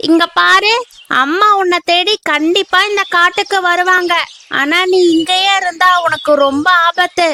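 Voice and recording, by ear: In a cartoonish character voice, a woman speaks at an extremely high pitch with a bright, sharp tone, fairly even intonation, a fairly slow pace and few pauses.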